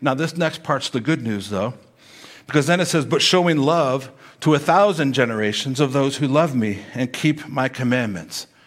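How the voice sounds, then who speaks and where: A man with a normal speaking voice, a fairly high pitch, ordinary pitch variation and a moderate pace. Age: 50s. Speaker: pastor. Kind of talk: sermon.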